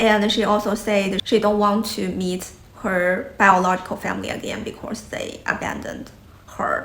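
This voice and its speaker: A woman with a Chinese accent speaks at a moderate pace and a medium pitch in a monotone, flat intonation. Noticeable background noise and audible room echo fill the recording. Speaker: YouTuber. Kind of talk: casual vlog talk.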